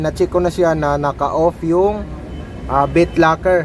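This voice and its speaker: A man speaks at a high pitch and a moderate pace in a flat monotone. Noticeable background noise runs underneath. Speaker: tech youtuber. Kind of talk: tutorial. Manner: loud; casual.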